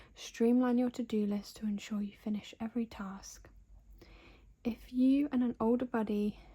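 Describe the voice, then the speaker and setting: Soft-spoken and somewhat breathy, a woman with a British accent talks in a fairly high pitch with a relaxed, dark, mellow tone and monotone, flat intonation. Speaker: ASMR creator. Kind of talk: ASMR magazine flip-through narration. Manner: soft-spoken, relaxed.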